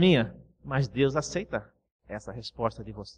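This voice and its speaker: His pitch is fairly high, with vocal fry. The man's intonation is lively. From Brazil, Cuiabá. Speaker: pastor. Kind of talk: sermon.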